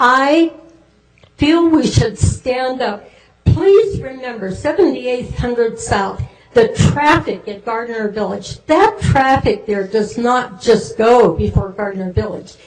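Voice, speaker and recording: Speaking at a very slow pace, a woman with a high pitch uses lively intonation. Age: 80s+. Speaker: resident making public comment. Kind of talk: public comment at council meeting.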